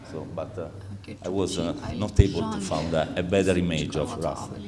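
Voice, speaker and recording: A man's fairly low voice with an Italian accent, amid noticeable background noise and audible room echo. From Italy, Rome. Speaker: insurance executive. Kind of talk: conference talk. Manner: halting, many fillers.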